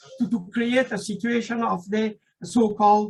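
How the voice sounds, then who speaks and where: A man speaks with a non-native accent. His voice is high-pitched. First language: not English; speaks French generally. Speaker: invited speaker on Afghanistan. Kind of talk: political talk at meeting. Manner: halting, many fillers.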